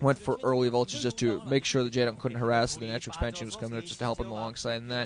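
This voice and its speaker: A man talks very fast in a monotone, flat delivery at medium pitch. Noticeable background noise runs underneath. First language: not English. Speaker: esports commentator. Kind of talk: live commentary. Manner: halting.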